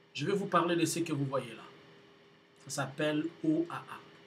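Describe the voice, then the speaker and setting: Speaking at a fairly slow pace, a man with a fairly high pitch shows big swings in loudness. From DR Congo. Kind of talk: video announcement to viewers. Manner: halting, with many hesitations.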